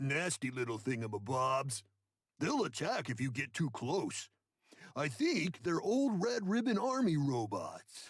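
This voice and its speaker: This man puts on a character voice, pitched fairly high, with very wide pitch swings. He talks at a fairly slow pace. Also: very even loudness. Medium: video game. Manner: folksy, hesitant.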